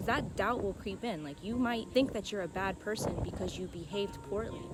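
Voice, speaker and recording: Speaking fairly quickly, a woman is heard with audible room echo and noticeable background noise. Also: medium pitch for a woman, ordinary pitch variation. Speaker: self-help vlogger. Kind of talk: casual monologue.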